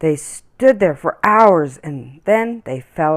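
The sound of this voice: The voice heard is an unforced reading voice.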